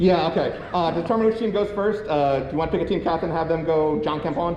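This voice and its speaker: Over noticeable background noise and audible room echo, a man with a high pitch talks at a very fast pace with ordinary pitch variation. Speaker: quiz game host at a convention panel. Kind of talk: live game show hosting. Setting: convention panel room with audience.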